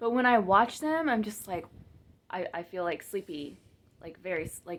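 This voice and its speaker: At a moderate pace, a woman talks at medium pitch with lively intonation. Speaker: teacher; video creator. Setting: on camera with studio lights.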